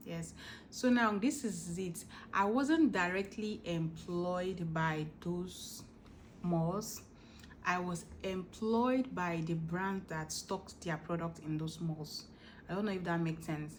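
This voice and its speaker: Audible room echo surrounds a woman speaking very slowly, somewhat breathy, with a fairly low pitch. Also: ordinary pitch variation. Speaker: vlogger. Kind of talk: casual chat.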